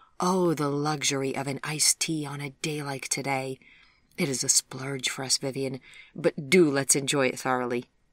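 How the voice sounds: The intonation in this natural reading voice is fairly even.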